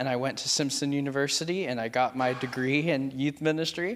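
An American-accented man speaks in an ordinary speaking voice at a fairly high pitch. The pace is moderate, and the recording is very clean with a silent background. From California, Merced. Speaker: youth pastor. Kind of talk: testimony.

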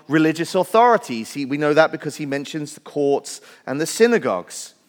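The voice has a Welsh accent. It moves at a fairly quick pace. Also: man. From Wales. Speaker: pastor. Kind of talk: sermon. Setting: church.

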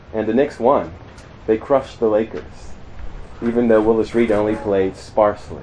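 A man with an American accent talks at a medium pitch in fairly even intonation, with noticeable background noise. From US Mid-Atlantic (Maryland, near Pennsylvania border). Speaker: campus minister / preacher. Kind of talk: sermon. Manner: hesitant with fillers.

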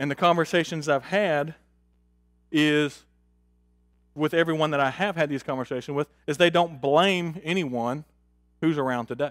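In a very clean recording with a silent background, a man with a fairly high voice speaks at a moderate pace and fairly even intonation, leaving long, frequent pauses. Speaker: Bible class teacher. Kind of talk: Bible class lesson with prayer. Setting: church class. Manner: casual, hesitant, repeats words.

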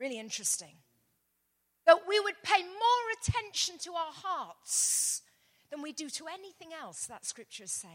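Long pauses come often, in an English accent. The pitch swings very widely. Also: woman, extremely high pitch for a woman, moderate pace, big swings in loudness. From England. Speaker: pastor. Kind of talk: sermon.

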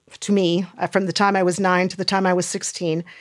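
A woman with an ordinary speaking voice, medium in pitch, at a moderate pace, in a very clean recording with a silent background. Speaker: church member and former nurse. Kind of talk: casual interview chat.

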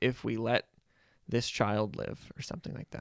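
A man speaks at a medium pitch with vocal fry. The sound is dry and close, with no echo. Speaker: podcast co-host. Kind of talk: casual chat.

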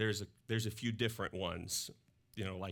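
On a very clean recording with a silent background, a man with a slight Southern US accent speaks fairly quickly in a fairly low pitch with monotone, flat intonation. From Mississippi, US South. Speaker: pastor. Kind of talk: sermon. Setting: church. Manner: casual, conversational.

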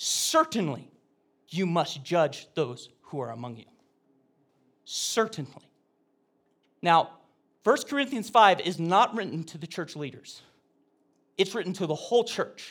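In a very clean recording with a silent background, a man speaks fairly slowly with long, frequent pauses. His high voice makes very wide pitch swings and big swings in loudness. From Oregon, US. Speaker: pastor. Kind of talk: sermon. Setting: church. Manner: halting.

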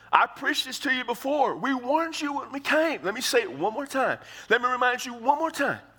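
In an American accent, a raised, projected voice moves at a fairly quick pace with ordinary pitch variation. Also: man, extremely high pitch for a man. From Texas. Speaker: pastor. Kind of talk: sermon. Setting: church.

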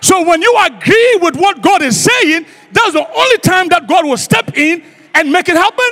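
A man speaks at a moderate pace in an extremely high, raised and projected voice, animated and lively in intonation, his loudness very even over noticeable background noise. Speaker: guest preacher. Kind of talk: sermon. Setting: church. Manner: animated, repetitive call-and-response preaching; rhetorical, emphatic repetition.

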